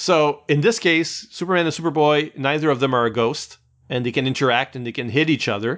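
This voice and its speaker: Here is a man with an ordinary speaking voice, talking at a fairly quick pace with a fairly high pitch and ordinary pitch variation. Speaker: podcast host. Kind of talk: casual chat about comics.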